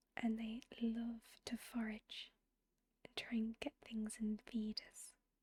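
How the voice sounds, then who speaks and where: A soft-spoken, somewhat breathy woman with a fairly high pitch, calm and relaxed in tone, very slow and monotone, with big swings in loudness and a dry, close sound with no echo. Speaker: ASMR gameplay creator. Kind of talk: ASMR soft spoken gameplay commentary. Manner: soft-spoken, calm, relaxed.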